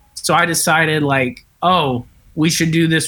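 With an American accent, a man talks at a moderate pace and a fairly high pitch. He has an unremarkable speaking voice with fairly even intonation. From Kentucky, US South. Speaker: comedian and filmmaker. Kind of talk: casual chat. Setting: video call.

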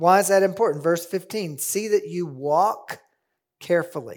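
A man with an American accent speaks at a high pitch and a fairly slow pace. The recording is very clean, with a silent background. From US Ozarks. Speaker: biblical counseling teacher. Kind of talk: conference lecture.

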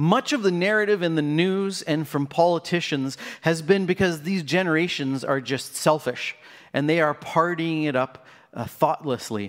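At a moderate pace, a man speaks in an ordinary speaking voice with a fairly high pitch and ordinary pitch variation. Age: 40s. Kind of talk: sermon.

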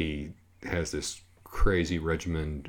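A man's very deep, low voice, somewhat breathy. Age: 50s. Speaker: musician. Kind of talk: casual chat.

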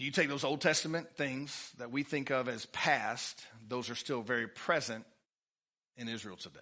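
A man with an East Texas accent speaks at a medium pitch in a bright, sharp tone. His pace is moderate and his pitch varies in an ordinary way against a quiet background. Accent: East Texas Southern US. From Texas, Livingston. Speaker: pastor. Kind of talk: sermon. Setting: church.

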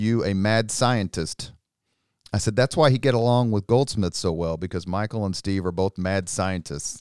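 Recorded very cleanly against a silent background, with a dry, close sound and no echo, a man with a Midwestern American accent speaks at a moderate pace in a fairly low pitch with ordinary pitch variation. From Indianapolis, Indiana. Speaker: political communications consultant and army veteran. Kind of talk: casual interview.

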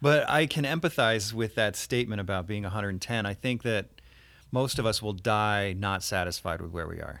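With an American accent, a man talks at a moderate pace in an unremarkable speaking voice, fairly low in pitch with lively intonation, on a very clean recording with a silent background. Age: 40s. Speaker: painter. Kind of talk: interview.

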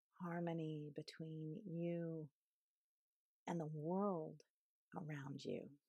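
Her pitch is very deep and low, and her tone is dark, mellow, soothing and calm. The woman speaks at a very slow pace with long, frequent pauses. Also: fairly even intonation. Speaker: yoga teacher leading meditation. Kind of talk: guided meditation. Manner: slow, soothing, calm with long pauses; gentle, soft-spoken.

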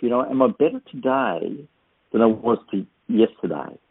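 A man with an Australian accent talks at a moderate pace and medium pitch. His pitch swings very widely. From Australia, New South Wales north coast. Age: 60s. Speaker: author and speaker. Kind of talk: interview.

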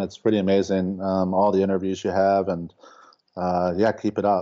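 This man talks at a fairly low pitch. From Baltimore, Maryland, US. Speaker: painter. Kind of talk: interview. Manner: halting, many fillers and repetitions.

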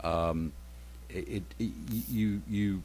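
The voice carries a Southern US accent and vocal fry. Its intonation is lively. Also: man. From rural Alabama. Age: 60s. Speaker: retired military intelligence officer. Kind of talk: radio talk show interview. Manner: halting, full of ums and repeated words.

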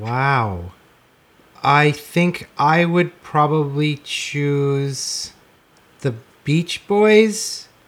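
A man with a fairly high pitch and lively intonation speaks very slowly, leaving long, frequent pauses. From Canada, Regina, Saskatchewan. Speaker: rock musician. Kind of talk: casual interview.

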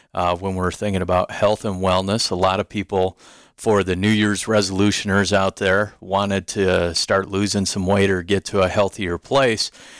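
A man with an American accent speaks at a moderate pace in a monotone, flat intonation with hardly any pauses. The very clean recording has a silent background and a dry, close sound with no echo. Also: fairly low pitch for a man. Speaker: radio host and gym owner. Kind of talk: casual radio interview. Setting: radio studio.

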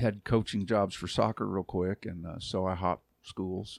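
Recorded very cleanly against a silent background, a man with an American accent speaks at a fairly quick pace in a dry, close sound with no echo. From Texas, Arlington. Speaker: pastor and youth minister. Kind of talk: casual interview, personal testimony.

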